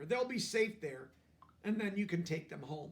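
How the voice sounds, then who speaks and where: A man puts on a high-pitched character voice at a moderate pace. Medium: read story. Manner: friendly, easygoing.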